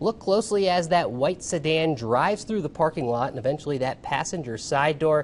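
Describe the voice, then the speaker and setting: A man talks at a fairly quick pace in a plain, everyday voice, pitched fairly high, with lively intonation. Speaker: news anchor. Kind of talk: TV news anchoring.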